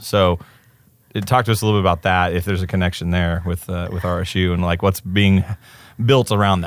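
Speaking with an American accent, a man uses a very deep, low pitch. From Oklahoma. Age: 30s. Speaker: podcast host. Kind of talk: casual interview.

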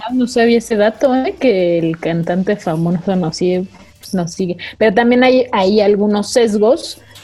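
Noticeable background noise accompanies a woman's medium-pitched voice. She speaks at a fairly slow pace. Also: ordinary pitch variation. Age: 20s. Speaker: podcast host. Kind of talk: casual chat.

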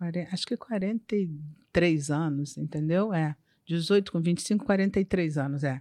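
A woman with a fairly low pitch speaks at a very slow pace in a very clean recording with a silent background. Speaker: insurance broker. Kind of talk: casual interview.

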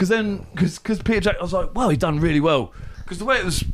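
The intonation rises and falls in a lively way. It belongs to a man. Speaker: podcast co-host. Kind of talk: casual chat. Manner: loud.

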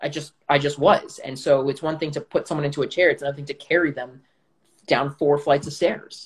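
A somewhat breathy man, fairly high in pitch, fairly quick, with monotone, flat intonation. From Israel. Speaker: actor. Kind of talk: casual chat.

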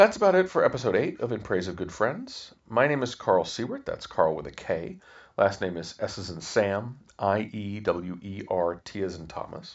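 Here a man with an American accent speaks at a moderate pace. His loudness swings widely. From Kansas, US Midwest. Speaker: podcast host. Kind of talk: podcast outro; personal storytelling monologue.

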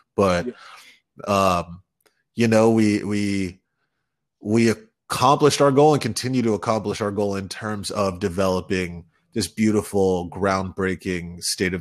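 A man speaks at a fairly slow pace with a fairly low pitch and ordinary pitch variation, in a normal speaking voice. The recording is very clean, with a silent background. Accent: American. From New York, Westchester County. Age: 20s. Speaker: tech entrepreneur and rapper. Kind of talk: interview.

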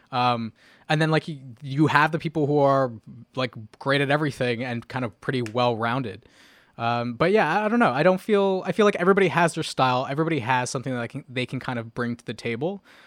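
A man of medium pitch talks at a very fast pace with lively intonation in a very clean recording with a silent background. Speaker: music YouTuber. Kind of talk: casual chat. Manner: enunciates clearly; professional-sounding.

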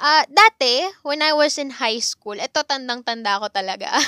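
A woman speaks in a raised, projected voice with a bright, sharp and animated tone, at a fairly slow pace. The sound is dry and close with no echo. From Philippines, Cavite. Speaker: podcast host, psychology graduate. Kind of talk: casual solo podcast chat. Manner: animated, frequent laughter.

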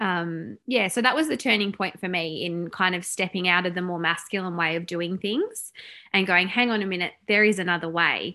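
Medium-pitched woman with an Australian accent, a bright, sharp tone, ordinary pitch variation, and a moderate pace, on a very clean recording with a silent background. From Tasmania, Australia. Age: 30s. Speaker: salon owner and business coach. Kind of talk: casual interview chat.

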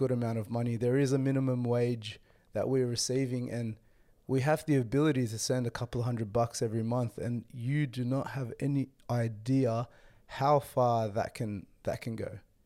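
Speaking at a moderate pace, a man with an Australian accent has a medium pitch, a dark, mellow tone and fairly even intonation. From Australia, Western Sydney. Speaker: podcast host. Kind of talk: solo travel vlog talk.

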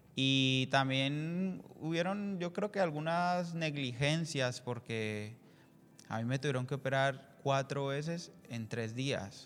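A man with a fairly high voice talks at a very slow pace. His pitch varies in an ordinary way. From Colombia. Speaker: church member. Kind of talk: testimony.

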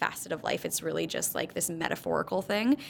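Vocal fry marks a woman's voice as she talks fairly quickly. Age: 30s. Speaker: spin instructor and gym founder. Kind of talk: casual chat.

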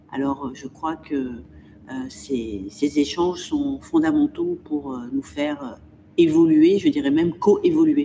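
Lively intonation runs through a woman's very deep, low voice. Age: 50s. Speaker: museum director. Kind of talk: interview. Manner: articulate, with frequent hesitations.

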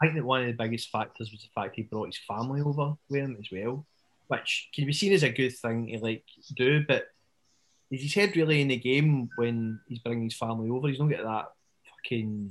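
Speaking at a fairly quick pace, a man with a Scottish accent uses a medium pitch. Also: ordinary pitch variation. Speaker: podcast co-host. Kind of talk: casual chat. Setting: video call.

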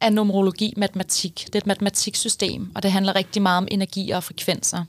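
A woman talks in a normal speaking voice at a medium pitch and a moderate pace. The sound is dry and close with no echo, on a very clean recording with a silent background. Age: 20s. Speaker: numerologist, podcast co-host. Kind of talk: casual chat.

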